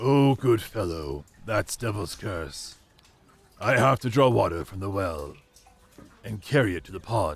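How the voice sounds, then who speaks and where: A man's cartoonish character voice, fairly low in pitch, with lively intonation, a moderate pace and long, frequent pauses. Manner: kindly, grave.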